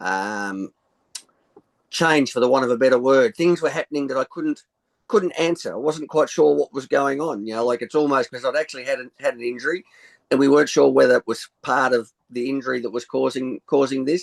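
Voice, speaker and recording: A man with an Australian accent talks at a fairly quick pace and medium pitch. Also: ordinary pitch variation. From rural Australia. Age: 60s. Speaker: sound healer. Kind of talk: interview. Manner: halting.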